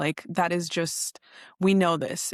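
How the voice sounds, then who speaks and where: A woman's normal speaking voice, fairly low in pitch, at a moderate pace with an American accent, in a dry, close sound with no echo and a quiet background. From Oregon, US. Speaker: social media advocate. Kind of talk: interview conversation. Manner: casual, filler-heavy.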